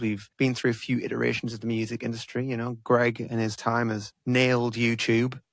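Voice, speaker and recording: At a fairly quick pace, a man with medium pitch speaks with an English accent. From England. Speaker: podcast host and musician. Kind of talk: casual chat.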